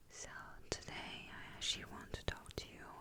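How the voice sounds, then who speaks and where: A woman whispers while noticeable background noise carries on behind her. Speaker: ASMR content creator. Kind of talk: ASMR storytime whisper, rambling personal story. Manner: whispered, soft-spoken, calming.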